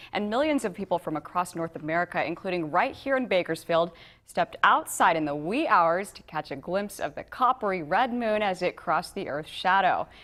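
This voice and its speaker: In a normal speaking voice, a woman talks at a fairly quick pace with hardly any pauses, medium pitch and lively intonation. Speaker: television news anchor and reporter. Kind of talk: local TV news anchor delivery.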